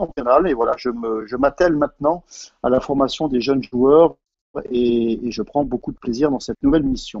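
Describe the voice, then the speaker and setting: A man speaks at a moderate pace with a fairly high pitch. His is an unremarkable speaking voice. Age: 40s. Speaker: basketball sports director. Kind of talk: live online panel discussion.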